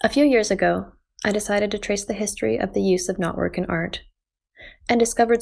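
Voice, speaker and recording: A woman with a Canadian accent speaks at a fairly quick pace in a very clean recording with a silent background. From Canada. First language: Japanese. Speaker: visual artist. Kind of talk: scripted narration.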